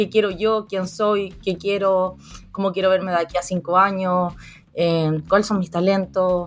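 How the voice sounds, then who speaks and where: A woman's medium-pitched, monotone voice at a fairly slow pace, with flat intonation, in a very clean recording with a silent background. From Chile. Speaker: psychologist and career coach. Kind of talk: interview.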